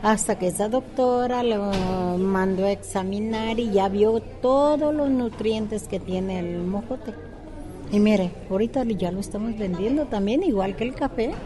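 Noticeable background noise accompanies a woman with a fairly high voice and ordinary pitch variation. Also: fairly slow pace. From Mexico, southern Jalisco. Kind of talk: interview.

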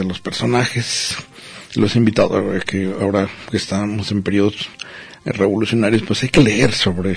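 A man with a fairly low voice talks while noticeable background noise is present. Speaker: radio host. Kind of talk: casual chat.

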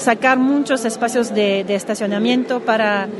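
Fairly even intonation amid audible room echo and noticeable background noise. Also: woman. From Quebec (Montreal). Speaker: city councillor. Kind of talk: interview. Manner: halting.

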